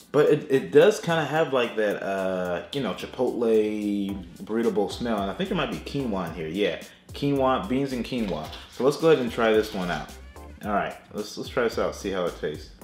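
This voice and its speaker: Faint music plays in the background and the room echo is audible as a man speaks at a moderate pace. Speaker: food reviewer. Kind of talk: casual vlog chat. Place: home room.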